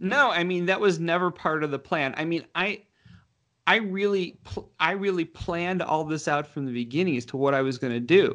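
A man with an American accent, high pitch, ordinary pitch variation, and a moderate pace. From Michigan, Detroit suburbs. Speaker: former federal agent turned actor. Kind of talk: interview. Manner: halting, with frequent restarts.

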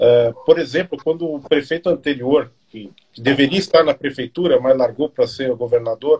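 Somewhat breathy and fairly high-pitched, a man talks at a moderate pace with ordinary pitch variation, the sound dry and close with no echo. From São Paulo, Brazil (eastern periphery). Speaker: live show host, history institute. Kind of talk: interview. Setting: online live stream.

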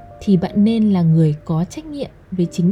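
Music plays in the background as a woman speaks fairly slowly at medium pitch with lively intonation. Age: 20s. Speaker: podcast host. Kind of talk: personal monologue.

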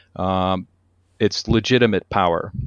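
A man with an American accent has an unremarkable speaking voice. He talks at a fairly slow pace with fairly even intonation. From US Northeast, Connecticut. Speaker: maintenance and reliability consultant, author, Coast Guard veteran. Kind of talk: interview.

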